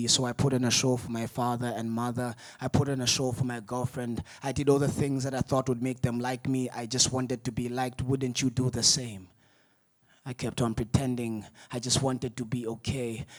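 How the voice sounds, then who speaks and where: Monotone, flat intonation runs through this man's speech. He talks at a fairly quick pace with a medium pitch. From Malawi. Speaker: spoken-word poet. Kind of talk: spoken word poetry performance.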